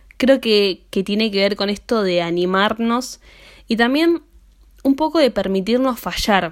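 With an unremarkable speaking voice, a woman with a fairly high pitch speaks at a fairly slow pace with lively intonation. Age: 20s. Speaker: podcaster. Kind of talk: solo monologue podcast.

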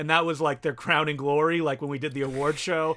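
On a very clean recording with a silent background, a man speaks at a fairly high pitch with ordinary pitch variation. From Canada, Ottawa and small French town. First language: French. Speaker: filmmaker and podcast host. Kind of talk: casual chat.

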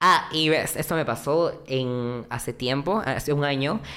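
A woman speaks in a very deep, low pitch. Her pitch varies in an ordinary way. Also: very clean recording, silent background. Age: 20s. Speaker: content creator. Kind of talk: casual chat. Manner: talkative.

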